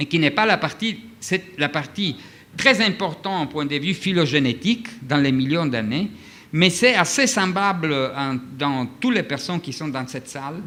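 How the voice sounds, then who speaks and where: With a non-native accent, this man's fairly high voice has a bright, sharp tone and lively intonation. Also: fairly slow pace. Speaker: physician, conference speaker. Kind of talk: lecture. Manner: halting, many hesitations.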